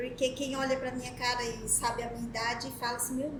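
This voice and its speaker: A woman speaks with a slight Pernambuco accent. Audible room echo is present. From Brazil, Pernambuco. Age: 40s. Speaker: podiatrist. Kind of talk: interview.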